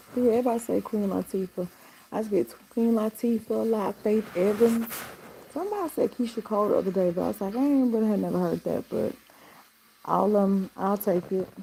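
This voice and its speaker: Over noticeable background noise, a woman talks at a fairly quick pace in a relaxed tone, her fairly high pitch held to fairly even intonation. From Atlanta, Georgia (DeKalb, east side). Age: 50s. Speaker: lifestyle vlogger. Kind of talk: casual live stream chat. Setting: home live stream at night. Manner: relaxed, chatty.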